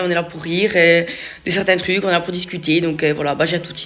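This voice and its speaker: Over noticeable background noise, a man speaks at a very fast pace in a high pitch with monotone, flat intonation. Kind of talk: casual vlogger.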